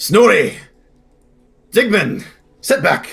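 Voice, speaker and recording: A raspy, gruff put-on character voice with fairly high pitch. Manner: gruff, commanding.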